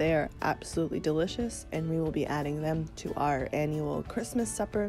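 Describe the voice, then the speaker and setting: A woman's very deep, low voice with ordinary pitch variation, music playing in the background. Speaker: stay-at-home mom vlogger. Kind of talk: casual vlog voiceover.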